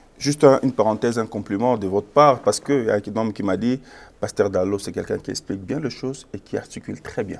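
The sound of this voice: A man speaks at a fairly quick pace with few pauses and vocal fry. His pitch is fairly low, with ordinary variation.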